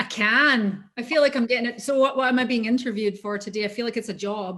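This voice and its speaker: A woman speaks with a Scottish accent. Her pace is very fast. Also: fairly high pitch for a woman, fairly even intonation. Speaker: voice actor. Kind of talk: interview.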